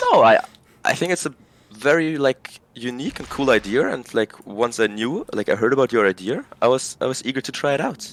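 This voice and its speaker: A man speaks fairly quickly at a medium pitch with ordinary pitch variation, his sound dry and close with no echo, over noticeable background noise. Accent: German. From Germany, Berlin. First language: German. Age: 20s. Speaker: video game player. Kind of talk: casual chat. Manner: halting.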